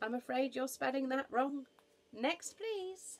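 A woman speaks slowly in a put-on character voice. Her high pitch carries lively intonation.

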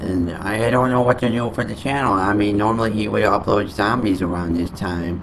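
A man talks while background noise can be noticed throughout. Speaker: gaming channel host. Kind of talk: casual vlog chat. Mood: annoyed, complaining. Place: home room. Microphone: studio mic.

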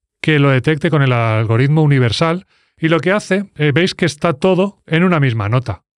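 A man talks at a moderate pace with a fairly high pitch and lively intonation. The sound is dry with no echo, over a quiet background. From Spain. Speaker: music producer. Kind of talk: tutorial. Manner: animated. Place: studio. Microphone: studio mic.

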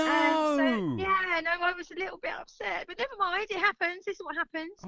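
A raised, projected voice with ordinary pitch variation comes through in a dry, close sound with no echo. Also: woman, extremely high pitch for a woman, moderate pace. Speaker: radio caller. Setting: phone.

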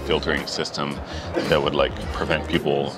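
A man talks at a moderate pace, the sound dry with no echo. Clear music plays in the background. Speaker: interview guest. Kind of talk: interview answer. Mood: relaxed, smiling, chatty. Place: street.

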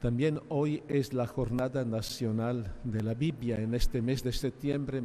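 A man talks at a very slow pace with fairly even intonation. Light background noise can be heard. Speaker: archbishop preaching. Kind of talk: sermon. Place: church. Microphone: podium.

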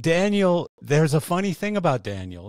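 Man at a moderate pace, dry sound with no echo, quiet background. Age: 60s. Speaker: podcast host. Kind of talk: casual interview chat. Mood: relaxed, anecdotal storytelling. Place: home room. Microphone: studio mic.

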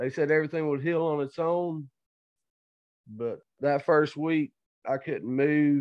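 A man's fairly high voice at a fairly slow pace, with fairly even intonation and long, frequent pauses. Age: 20s. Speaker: amateur mixed martial artist. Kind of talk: interview.

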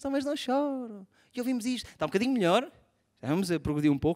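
A man with an extremely high pitch, very wide pitch swings and an animated tone, at a very fast pace, with a European Portuguese accent, against a quiet background. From Portugal. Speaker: stand-up comedian. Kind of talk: stand-up comedy. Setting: stage with audience. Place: stage. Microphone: handheld.

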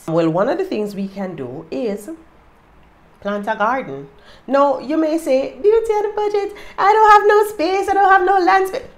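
An animated woman with a Jamaican accent. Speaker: lifestyle YouTuber. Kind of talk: casual tips monologue. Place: home room. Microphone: phone near.

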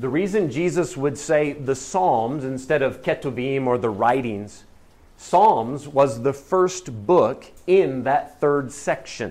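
A man talks at a very slow pace with ordinary pitch variation. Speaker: Bible class teacher. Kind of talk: lecture. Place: classroom.

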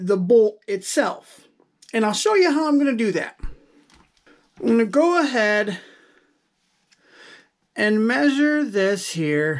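Over a quiet background, the speech moves at a very slow pace. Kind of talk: tutorial. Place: workshop.

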